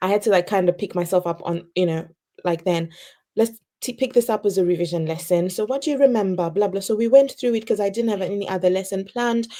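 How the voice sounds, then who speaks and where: Quiet and dark, mellow in tone, a woman with a non-native accent speaks at a fairly quick pace in a medium pitch. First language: not English. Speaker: early career teacher. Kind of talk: interview storytelling. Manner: naturally quiet.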